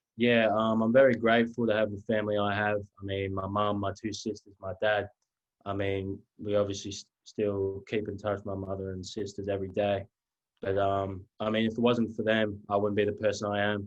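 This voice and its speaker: Someone with a slight Australian accent talks at a fairly quick pace in a monotone, flat intonation. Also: man, fairly low pitch for a man. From Australia, rural Victoria near Melbourne. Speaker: college basketball player. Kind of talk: interview.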